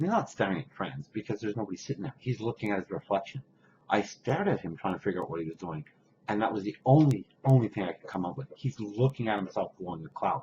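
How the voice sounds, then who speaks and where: A man's dark, mellow, somewhat breathy voice, fairly low in pitch, with lively intonation at a very fast pace. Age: 60s. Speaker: vaping vlogger. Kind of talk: rant.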